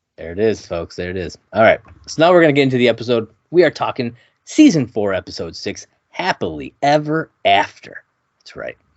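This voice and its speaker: Big swings in loudness and very wide pitch swings at a fairly quick pace. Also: man, medium pitch for a man. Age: 30s. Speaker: podcast co-host. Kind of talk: casual chat.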